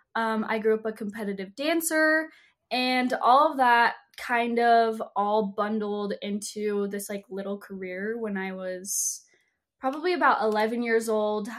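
A woman with an American accent has a plain, everyday voice, fairly high in pitch with ordinary pitch variation. She speaks at a fairly slow pace in a very clean recording with a silent background. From Utah. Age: 20s. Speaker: social media influencer. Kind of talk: casual interview chat.

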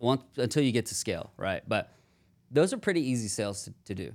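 In an American accent, a man with a medium-pitched, unremarkable speaking voice uses lively intonation in a very clean recording with a silent background. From Houston, Texas. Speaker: call center business owner. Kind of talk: casual interview. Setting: studio.

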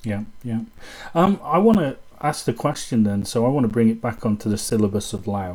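In a British accent, a man of medium pitch speaks at a fairly quick pace with ordinary pitch variation. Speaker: podcast host and kung fu student. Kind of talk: casual chat. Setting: video call.

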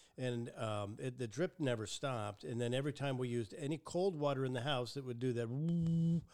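This is an ordinary speaking voice, a man at a medium pitch with ordinary pitch variation. He talks fairly quickly with hardly any pauses. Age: 60s. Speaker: podcast host. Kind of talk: casual chat. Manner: chatty, joking.

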